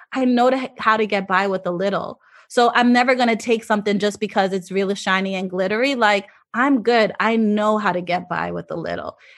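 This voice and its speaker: With an unremarkable speaking voice, a woman talks at a fairly quick pace and fairly even intonation over a quiet background. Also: medium pitch for a woman. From Jamaica, raised in South Florida. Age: 40s. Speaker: fashion anthropologist and professor. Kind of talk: interview.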